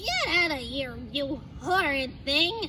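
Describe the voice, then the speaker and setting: Over clear background noise, someone drags out a put-on character voice at a very slow pace. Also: female-sounding voice. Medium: read story.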